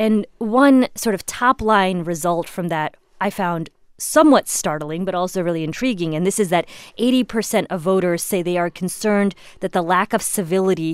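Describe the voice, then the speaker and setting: A woman's ordinary speaking voice at medium pitch, with ordinary pitch variation and a moderate pace. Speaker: political reporter hosting podcast. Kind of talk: casual political discussion. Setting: studio.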